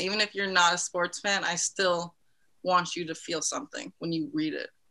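A woman's fairly low voice with a bright, sharp tone, an American accent, ordinary pitch variation and a fairly quick pace. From New Jersey, US. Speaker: sports writer and founder of sports blog. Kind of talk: casual interview chat.

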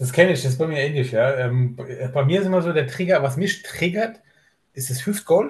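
A man talks at a moderate pace with ordinary pitch variation. His voice is somewhat breathy. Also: fairly high pitch for a man. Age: 30s. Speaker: bodybuilder. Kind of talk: casual chat. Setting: video call. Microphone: laptop on LAN cable.

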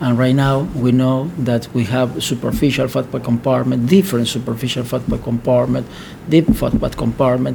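Over noticeable background noise, a man talks at a medium pitch with an Argentine accent. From Argentina. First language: Spanish. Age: 40s. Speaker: plastic surgeon. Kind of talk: interview. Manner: halting.

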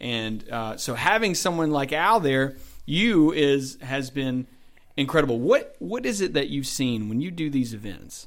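With lively intonation, a man talks at a fairly high pitch. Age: 20s. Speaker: podcast host, pastor. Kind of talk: casual interview.

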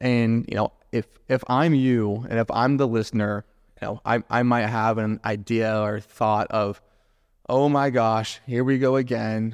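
With an American accent, a man speaks at medium pitch and a fairly slow pace in a monotone, flat intonation against a quiet background. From US South, Jacksonville, Florida. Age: 20s. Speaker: real estate investor and agent. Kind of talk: solo podcast monologue.

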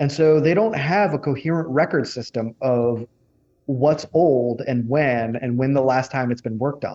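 In an American accent, a man talks at a moderate pace and medium pitch with ordinary pitch variation and a normal speaking voice. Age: 30s. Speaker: energy writer and researcher. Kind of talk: interview.

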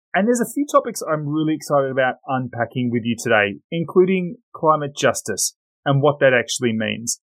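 Talking at a fairly quick pace with hardly any pauses, a man with an Australian accent uses a fairly high pitch and very wide pitch swings. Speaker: podcast host, risk specialist. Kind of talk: interview.

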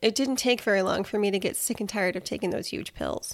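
A woman speaks in a normal speaking voice, fairly high in pitch, with fairly even intonation. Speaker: health podcast host and personal trainer. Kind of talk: personal health story monologue.

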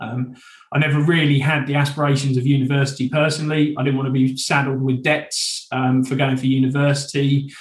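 A man speaks at a fairly quick pace in a fairly high voice. His intonation is monotone and flat. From eastern England, Suffolk. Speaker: training company sales director. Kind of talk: interview.

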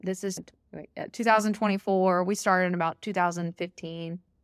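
With a Southern US accent, a woman speaks at a moderate pace in a fairly low voice. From Alabama. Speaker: teacher and amateur ultra-runner. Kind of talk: casual interview chat. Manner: animated.

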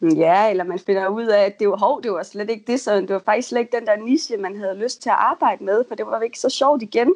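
A woman with an unremarkable speaking voice and fairly high pitch talks at a fairly quick pace with hardly any pauses, the sound dry and close with no echo against a quiet background. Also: ordinary pitch variation. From Denmark, North Jutland. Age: 20s. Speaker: freelance copywriter. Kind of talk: interview. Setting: Skype call. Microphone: choppy connection.

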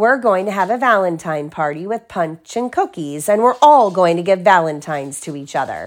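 In a very clean recording with a silent background, a woman speaks at a moderate pace in a medium pitch, her tone animated and warm, with hardly any pauses. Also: lively intonation. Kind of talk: children's picture book read-aloud, with pauses to chat with a child. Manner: animated, warm storyteller voice, changing tone for each character.

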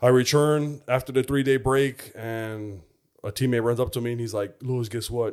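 With a plain, everyday voice and an American accent, a man speaks at a moderate pace and medium pitch with ordinary pitch variation, in a very clean recording with a silent background. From US Midwest, Chicago. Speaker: former football player. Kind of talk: testimony.

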